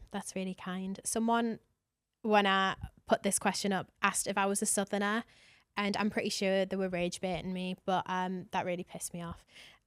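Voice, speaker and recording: A woman speaks at a medium pitch and a moderate pace, her intonation flat and monotone. The sound is dry and close with no echo, and the recording is very clean over a silent background. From northern England, County Durham. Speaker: podcast host and history content creator. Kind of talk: casual solo podcast chat. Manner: chatty, filler-heavy.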